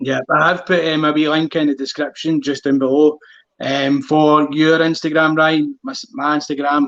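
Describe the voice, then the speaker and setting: A man's fairly high voice in a strong Glaswegian accent, monotone and flat, at a moderate pace. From Scotland, Glasgow. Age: 30s. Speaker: running channel host. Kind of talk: casual chat.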